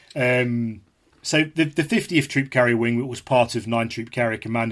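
With an East Midlands accent, a man speaks at medium pitch with fairly even intonation. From England, Leicestershire. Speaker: historian and author. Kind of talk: interview discussion. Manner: halting, repeats words.

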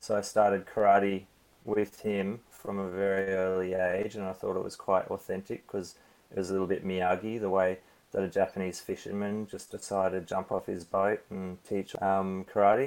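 A man with an Australian accent talks in a fairly low pitch with monotone, flat intonation. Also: moderate pace. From Australia, Cairns (Queensland). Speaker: stunt performer and coordinator. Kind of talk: interview. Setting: remote call from home, late evening.

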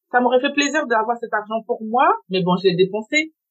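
A woman at a moderate pace. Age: 30s. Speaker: assistant and lingerie brand founder, single mother. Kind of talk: testimony. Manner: halting.

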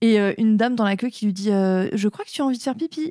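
A very fast pace with ordinary pitch variation, in a dry, close sound with no echo and a very clean recording with a silent background. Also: woman. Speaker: podcast host. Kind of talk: casual chat.

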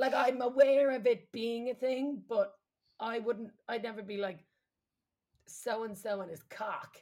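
A woman speaks at a fairly slow pace, her pitch fairly high with ordinary variation. Her tone is dark and mellow, with big swings in loudness. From Ireland. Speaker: comedian and podcast host. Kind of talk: casual comedic chat.

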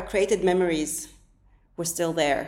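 A woman's voice with audible room echo. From Yemen. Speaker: journalist. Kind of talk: casual interview conversation. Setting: studio.

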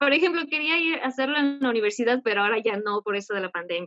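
The speaker is a woman with a fairly high pitch. She talks very fast. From Ecuador. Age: 20s. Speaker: caller seeking advice. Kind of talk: personal confession. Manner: halting.

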